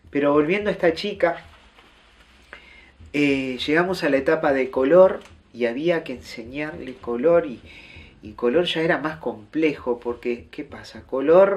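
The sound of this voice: Speaking at a moderate pace, a man with a fairly high pitch shows ordinary pitch variation.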